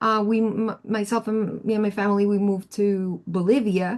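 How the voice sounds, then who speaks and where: A woman with a Spanish accent talks at a moderate pace. The background is quiet. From Colombia. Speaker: audio engineer and producer. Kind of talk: career workshop talk. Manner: casual, halting with many fillers.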